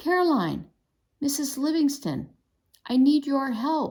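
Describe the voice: A woman puts on a shrill, high-pitched character voice, speaking at a fairly slow pace with ordinary pitch variation.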